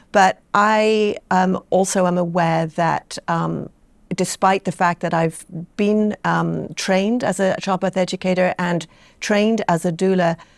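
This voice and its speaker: A woman's medium-pitched voice with an English accent, fairly slow and monotone with flat intonation and very even loudness, on a very clean recording against a silent background. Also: dry, close sound with no echo. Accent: sounds very English. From Bermuda. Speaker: doula and childbirth educator. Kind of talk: interview. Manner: halting, many fillers.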